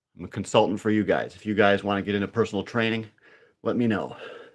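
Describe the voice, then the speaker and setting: Speaking at a fairly low pitch, a man uses monotone, flat intonation. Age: 40s. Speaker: fitness livestreamer and trader. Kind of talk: live stream chat reading comments. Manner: casual.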